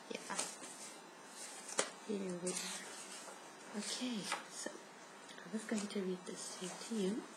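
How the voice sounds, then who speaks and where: Soft-spoken delivery at a very slow pace, with noticeable background noise. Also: woman. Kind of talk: soft-spoken ASMR reading from a book. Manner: soft-spoken, relaxing.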